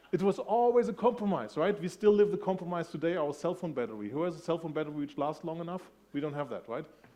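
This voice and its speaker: Speaking very fast with a German accent, a man uses lively intonation. His voice is high in pitch, with a dark, mellow tone. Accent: soft German. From Germany. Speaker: industry analyst. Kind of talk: conference keynote talk. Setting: stage with audience. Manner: conversational, engaging with audience.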